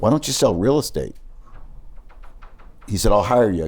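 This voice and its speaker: Fairly low male voice with a dark, mellow tone, on a very clean recording with a silent background. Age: 60s. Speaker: sports business executive. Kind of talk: interview storytelling. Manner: conversational, with false starts.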